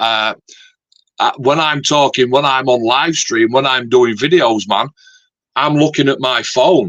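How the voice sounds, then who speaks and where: Speaking at a fairly slow pace with long, frequent pauses, a man with a Yorkshire accent uses ordinary pitch variation. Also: medium pitch for a man. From Yorkshire, northern England. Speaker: scale modeler and YouTuber. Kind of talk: casual chat.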